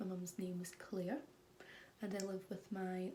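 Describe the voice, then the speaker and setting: A woman with a Scottish accent has a medium-pitched, somewhat breathy voice and a dark, mellow tone. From Scotland. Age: 20s. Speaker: vlogger. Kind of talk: casual chat.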